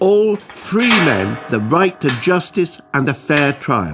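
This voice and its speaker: A high-pitched man's voice with a British accent and very wide pitch swings, music in the background. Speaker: narrator. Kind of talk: educational animation narration.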